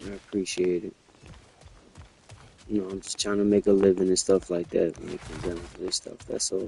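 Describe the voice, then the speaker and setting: Soft-spoken and fairly low-pitched, a man talks at a fairly quick pace in a flat, monotone delivery. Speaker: gaming streamer. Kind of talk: casual chat.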